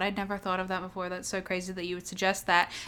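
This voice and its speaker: This woman talks at a medium pitch with an Australian accent. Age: 20s. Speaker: podcast co-host. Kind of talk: casual chat.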